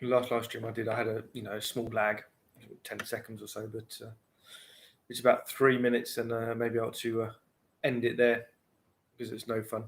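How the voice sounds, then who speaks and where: In a British accent, a man with a medium pitch speaks at a fairly quick pace with monotone, flat intonation and long, frequent pauses. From UK. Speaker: pipe smoking livestreamer, bar and restaurant worker. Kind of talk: casual livestream chat. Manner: rambling, hesitant with fillers. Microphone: laptop, unstable internet with lag.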